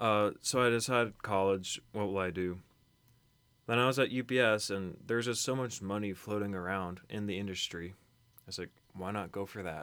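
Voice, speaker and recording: A man with an American accent, fairly low pitch, fairly even intonation and an ordinary speaking voice, at a moderate pace on a very clean recording with a silent background. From Kentucky, US. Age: young. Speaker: college student. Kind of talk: casual chat.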